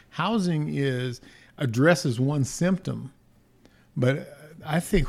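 A man with an American accent speaks with a fairly high pitch. His tone is dark and mellow, and somewhat breathy. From Los Angeles, California. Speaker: political candidate. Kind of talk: interview. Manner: halting.

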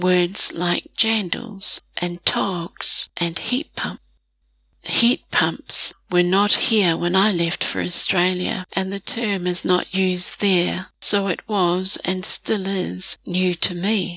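A woman with a New Zealand accent at a medium pitch and very slow pace, fairly even in intonation, dry and close with no echo. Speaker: blogger or narrator on New Zealand language. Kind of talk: scripted narration.

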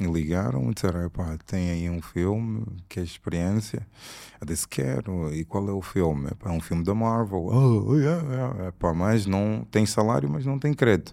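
A man's very deep, low voice with a dark, mellow tone and lively intonation, on a very clean recording with a silent background. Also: moderate pace. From Angola (Luanda). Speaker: film director. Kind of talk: casual interview.

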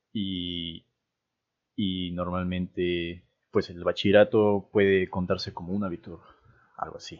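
Very deep and low, a man speaks at a fairly slow pace in a monotone, flat intonation, with long, frequent pauses and big swings in loudness. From Peru. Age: 20s. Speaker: podcast co-host, university student. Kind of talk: casual chat.

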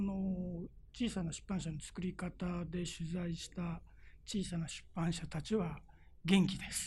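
A man's voice sits high in pitch. He talks at a very slow pace. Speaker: writer, author. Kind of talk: interview.

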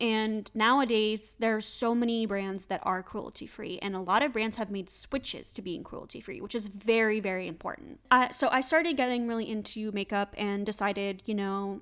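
With an unremarkable speaking voice, a woman speaks at a moderate pace and a fairly high pitch, her pitch varying in an ordinary way and hardly any pauses breaking her speech. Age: 20s. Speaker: podcast host. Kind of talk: casual solo chat.

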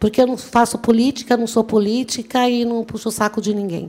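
A woman speaks at a moderate pace in an animated tone. Her pitch is fairly high. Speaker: motivational speaker, law graduate. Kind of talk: motivational talk.

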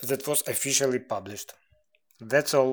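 This man's pitch is fairly high, and he speaks with a Ukrainian accent. The recording is very clean, with a silent background. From Ukraine. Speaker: musician. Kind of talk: recorded statement.

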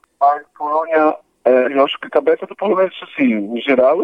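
This is a man speaking. His pitch is fairly high. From Poland. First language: Polish (speaking Portuguese). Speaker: guest interviewee, Polish expatriate. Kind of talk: casual interview chat. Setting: phone call. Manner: halting, many repetitions.

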